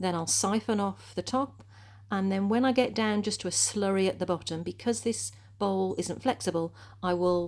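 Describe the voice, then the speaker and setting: A woman talks at a moderate pace with very wide pitch swings. The recording is very clean, with a silent background. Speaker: potter. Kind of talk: tutorial voiceover. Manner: casual, chatty.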